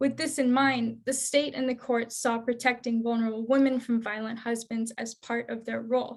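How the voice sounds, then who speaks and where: A woman speaks at a fairly high pitch in a flat monotone, with hardly any pauses. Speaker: domestic violence educator. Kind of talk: webinar presentation. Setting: online webinar. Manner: fast.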